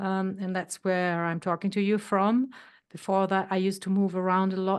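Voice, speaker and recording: A woman speaks in a normal speaking voice at a medium pitch and a moderate pace. The background is quiet. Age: 60s. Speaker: health coach. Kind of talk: podcast interview.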